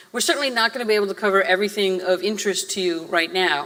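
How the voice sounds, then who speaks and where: Over noticeable background noise, a woman with an American accent speaks at medium pitch and a fairly quick pace with fairly even intonation. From Massachusetts, Boston area. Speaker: guest lecturer, theme park designer. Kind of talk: lecture. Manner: fast.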